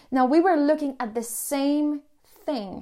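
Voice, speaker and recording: A woman's high-pitched voice with a dark, mellow tone, at a fairly slow pace, on a very clean recording with a silent background. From Colombia. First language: Spanish. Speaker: podcast host. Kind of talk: personal storytelling monologue. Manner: hesitant, many fillers.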